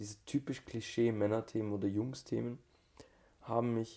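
Speaking at a medium pitch, a man has a dark, mellow tone and fairly even intonation. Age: 30s. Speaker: tantra teacher. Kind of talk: casual chat.

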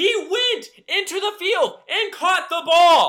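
Projecting a raised voice with a bright, sharp tone, a man with an American accent speaks at an extremely high pitch and a very slow pace, with ordinary pitch variation. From Georgia, US South (north of Atlanta). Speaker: sports podcast co-host. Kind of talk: casual chat.

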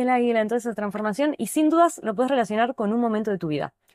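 A woman's fairly high voice with lively intonation on a very clean recording with a silent background. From Neuquén, Argentina. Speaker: dance therapy teacher. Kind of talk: casual chat.

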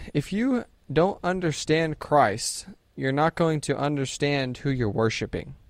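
At a fairly slow pace, a man speaks in a fairly high pitch with a normal speaking voice. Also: lively intonation. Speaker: podcast co-host. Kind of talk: casual chat about faith, Bible reading.

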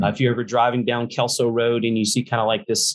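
Speaking with a Southern US accent, this man's voice sits at a medium pitch. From US South, Louisiana. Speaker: pastor. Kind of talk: casual chat. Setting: video call. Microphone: poor audio over video call.

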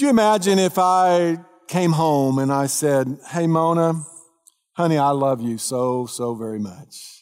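Speaking with a Texas accent, a man uses a fairly high pitch. His intonation is lively and his pace fairly slow. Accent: Southern US (Texas). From Texas, North Dallas area. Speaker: pastor. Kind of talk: sermon.

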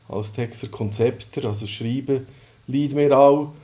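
Fairly even intonation marks this man's speech. His tone is dark and mellow. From Switzerland, Sursee region (Lucerne). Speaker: newsletter founder and coworking space operator. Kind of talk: casual interview. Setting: coworking space.

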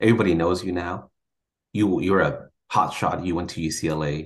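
A man's very deep, low voice at a moderate pace. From Mexico-born, raised in Sacramento, California. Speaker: chemistry professor. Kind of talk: interview.

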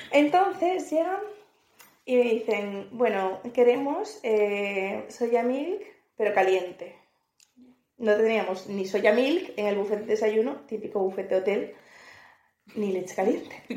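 A dark, mellow voice with lively intonation moves at a very slow pace. Long, frequent pauses ring out in audible room echo. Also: woman, fairly high pitch for a woman. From northern Spain, Asturias. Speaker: podcast co-host. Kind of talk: casual chat.

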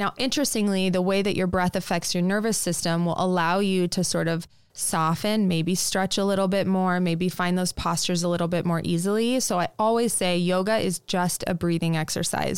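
With an American accent, a woman speaks in an unremarkable speaking voice at medium pitch, fairly quickly and with hardly any pauses, her intonation fairly even and her loudness very even, on a very clean recording with a silent background. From Nebraska, US (Lincoln). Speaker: yoga teacher and studio founder. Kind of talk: interview conversation.

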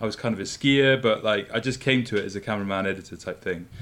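Speaking very fast with a Scottish accent, a man at medium pitch keeps his intonation fairly even. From Scotland. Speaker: podcast co-host, climbing media company founder. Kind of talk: casual chat. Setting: office in a living room.

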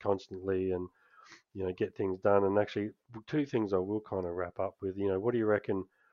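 This man speaks at a very fast pace in an Australian accent. His pitch sits fairly low, and his intonation stays monotone and flat. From Australia, Canberra. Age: 50s. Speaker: podcast host. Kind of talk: casual chat.

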